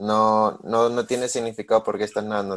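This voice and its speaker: Very clean, the recording has a silent background. A man speaks at a medium pitch and moderate pace. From Peru. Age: 20s. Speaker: swimming podcast co-host and student athlete. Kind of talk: casual chat.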